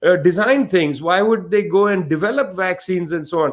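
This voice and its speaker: Speaking with an Indian accent, a man talks at a moderate pace with ordinary pitch variation. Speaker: author and researcher. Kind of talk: panel discussion. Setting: online livestream.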